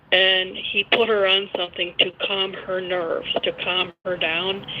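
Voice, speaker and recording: Speaking fairly slowly, a woman is heard over noticeable noise in the background. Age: 60s. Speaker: caller. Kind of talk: phone-in call. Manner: soft-spoken.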